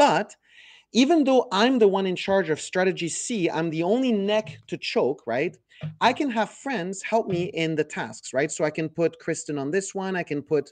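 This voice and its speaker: Speaking at a moderate pace, a man with a high pitch uses lively intonation. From France or French-speaking Quebec. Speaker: software company CEO. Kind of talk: product demo. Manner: animated.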